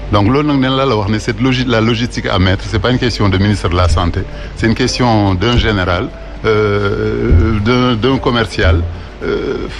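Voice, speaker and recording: Music plays in the background and room echo is audible as a man with a fairly low voice speaks at a very even loudness. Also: ordinary pitch variation, moderate pace. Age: 60s. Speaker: doctor. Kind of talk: talk show discussion.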